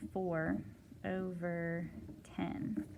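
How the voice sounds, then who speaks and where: Female speech with noticeable background noise. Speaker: math teacher. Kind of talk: homework help tutorial. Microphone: phone near.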